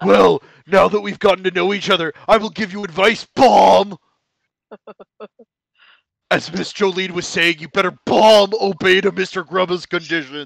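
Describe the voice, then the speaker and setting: A man puts on a high-pitched character voice, speaking at a moderate pace with long, frequent pauses. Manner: bossy, put-on wrestler voice.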